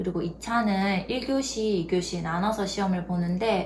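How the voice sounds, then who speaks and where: A woman with a strong Gyeongsang accent speaks at a fairly slow pace and medium pitch. The room echoes audibly, and background noise is noticeable. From South Korea, Gyeongsang region. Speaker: youtuber, former nurse. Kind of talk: tutorial.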